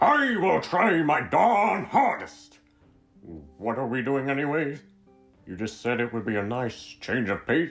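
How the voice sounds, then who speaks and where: A man's put-on character voice at medium pitch, fairly slow in pace, over faint music in the background. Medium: audio drama. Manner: gentle, folksy.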